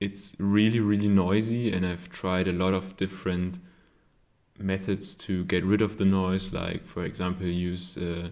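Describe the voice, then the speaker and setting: With a German accent, a man talks at a fairly slow pace in a very deep, low voice with monotone, flat intonation. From Germany. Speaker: hobbyist electronics maker. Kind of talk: casual tutorial. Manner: halting, many fillers.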